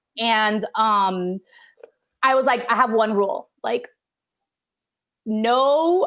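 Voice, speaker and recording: Fairly high in pitch, a woman's voice comes with a Spanish accent. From Miami. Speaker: actor and comedian. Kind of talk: casual chat. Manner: fast, filler-heavy.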